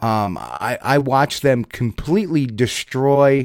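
A man with a New Jersey accent, medium pitch and ordinary pitch variation. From US Northeast, New Jersey. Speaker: online show host and bigfoot researcher. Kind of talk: casual chat. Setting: video call.

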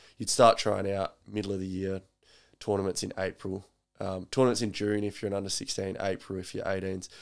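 A man's fairly low, monotone, flat voice with an Australian accent, at a fairly quick pace, on a very clean recording with a silent background. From South Australia. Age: 20s. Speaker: personal trainer. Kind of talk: casual chat. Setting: at home.

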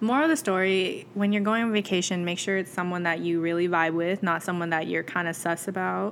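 A woman speaks in a fairly low pitch with ordinary pitch variation and very even loudness. She leaves hardly any pauses. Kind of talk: casual chat. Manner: animated, chatty.

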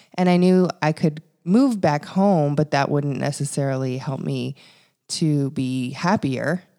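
A woman with a Canadian Prairies accent, very deep and low in pitch, dark and mellow in tone, fairly slow, with ordinary pitch variation, on a very clean recording with a silent background. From Canada, Regina, Saskatchewan. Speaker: podcast co-host, publicist. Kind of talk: casual chat.

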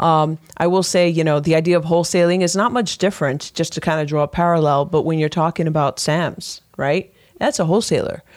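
In an unremarkable speaking voice, a woman with an American accent talks at a fairly quick pace, her pitch fairly low, her intonation fairly even and her loudness very even. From US Northeast, Brooklyn, New York. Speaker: realtor. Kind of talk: radio interview.

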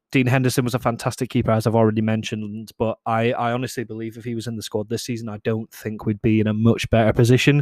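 In a Scottish accent, a man speaks at a very fast pace with monotone, flat intonation. The recording is very clean and dry, with a close sound, no echo and a silent background. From Scotland. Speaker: podcast host. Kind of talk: solo casual monologue. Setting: alone in a room. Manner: hesitant, many fillers.

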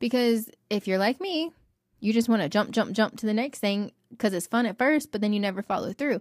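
Fairly quick and fairly high, a woman's voice comes through as an unremarkable speaking voice with ordinary pitch variation, in a very clean recording with a silent background and a dry, close sound with no echo. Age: 30s. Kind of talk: casual faith talk. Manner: fast, run-on.

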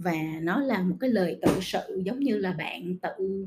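Her voice is somewhat breathy, with a dark, mellow tone. The woman's pitch sits in the medium range. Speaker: podcast host. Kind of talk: casual monologue podcast.

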